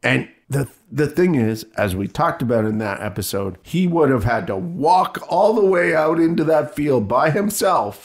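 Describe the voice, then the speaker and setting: A man with an American accent, fairly high pitch, very wide pitch swings, vocal fry, a moderate pace and hardly any pauses. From US Midwest. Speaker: podcast co-host. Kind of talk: casual chat.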